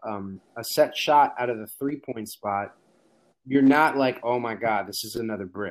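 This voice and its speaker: In a plain, everyday voice with an American accent, the speaker keeps a moderate pace with ordinary pitch variation and big swings in loudness. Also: man. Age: 30s. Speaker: basketball podcaster. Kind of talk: casual chat.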